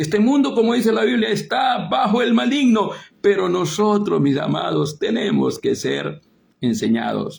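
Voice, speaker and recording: A man is speaking. His pace is moderate. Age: 60s. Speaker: preacher. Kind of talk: sermon. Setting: online broadcast via Facebook and Zoom.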